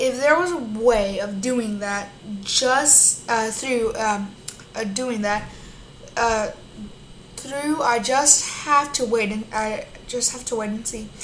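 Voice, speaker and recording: A woman with a fairly high pitch speaks very slowly, with ordinary pitch variation and long, frequent pauses. Noticeable background noise and audible room echo fill the recording. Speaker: YouTuber reading a news article. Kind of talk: reading aloud. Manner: halting.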